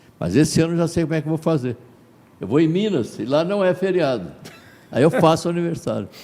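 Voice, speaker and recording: A man's dark, mellow voice at a fairly high pitch, with ordinary pitch variation, a very fast pace and long, frequent pauses. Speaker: radio broadcaster and singer. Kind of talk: interview.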